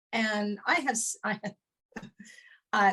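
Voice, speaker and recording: With a bright, sharp tone and a medium pitch, a woman speaks in a monotone, flat way, the sound dry and close with no echo. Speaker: sound healer and spiritual teacher. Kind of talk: interview answer. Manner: hesitant, casual.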